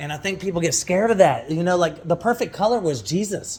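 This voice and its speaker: Loud and animated, a man talks in a high pitch with lively intonation over noticeable background noise. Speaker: vlogger. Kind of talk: casual chat.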